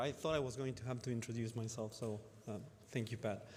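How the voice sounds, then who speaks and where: Talking at a very fast pace in a room with audible echo, a man holds a medium pitch and fairly even intonation. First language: not English. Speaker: cancer researcher. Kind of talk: conference talk. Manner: halting, many fillers.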